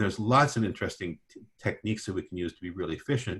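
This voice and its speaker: Somewhat breathy, a man talks at a very fast pace. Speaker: physician, orthopedic and regenerative medicine. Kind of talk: webinar presentation.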